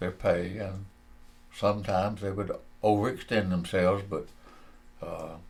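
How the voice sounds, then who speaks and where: A man with a Southern US accent speaks at a moderate pace, his pitch fairly low and his delivery flat and monotone. His voice is somewhat breathy, broken by long, frequent pauses. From US South, northeast Georgia. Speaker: retired textile executive and Marine veteran. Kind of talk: oral history interview.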